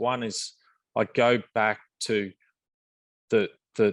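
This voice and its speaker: Recorded with a dry, close sound and no echo, a man talks with an Australian accent. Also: quiet background. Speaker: mining company executive. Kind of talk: panel presentation and Q&A. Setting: virtual roundtable, online call. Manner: halting, many repetitions and fillers.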